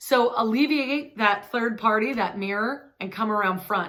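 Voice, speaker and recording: This is a woman's voice with fairly high pitch. Her pitch variation is ordinary. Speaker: hairdresser and hair color educator. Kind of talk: tutorial. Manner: loud.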